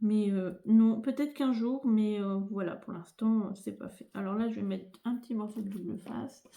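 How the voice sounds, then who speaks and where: Soft-spoken and somewhat breathy, a woman talks at a moderate pace with hardly any pauses, her fairly high pitch carrying a dark, mellow tone and fairly even intonation. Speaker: crafting youtuber. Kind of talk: tutorial. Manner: hesitant, many fillers. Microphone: no dedicated microphone, may sound quiet.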